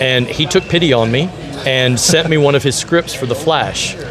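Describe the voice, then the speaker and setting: At a moderate pace, a man talks with an American accent over noticeable background noise, with audible echo in the room. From US South, Nashville, Tennessee. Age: 50s. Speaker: convention organizer and comic book creator. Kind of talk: interview. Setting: comic convention at a museum. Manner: halting, many repeated words and fillers.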